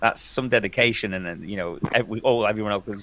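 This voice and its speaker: With a British accent, the voice is bright and sharp, moving at a very fast pace with fairly even intonation. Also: man. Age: 60s. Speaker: vegan YouTuber. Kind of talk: casual chat. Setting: livestream. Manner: halting.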